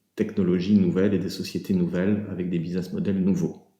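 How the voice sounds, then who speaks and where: With audible room echo, a man with a fairly low pitch and a dark, mellow tone speaks with lively intonation. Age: 60s. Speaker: business owner giving a client testimonial. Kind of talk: testimonial. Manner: halting, many filler hesitations.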